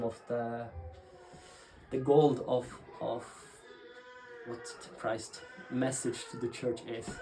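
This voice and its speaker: Over noticeable background noise, a man with a Norwegian accent talks at a very slow pace with fairly even intonation. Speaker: pastor. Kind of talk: interview talk about ministry. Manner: halting, many fillers and restarts.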